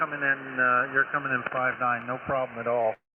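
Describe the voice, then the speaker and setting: The man speaks at a fairly slow pace. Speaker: amateur radio operator. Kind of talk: ham radio contact. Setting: radio transmission.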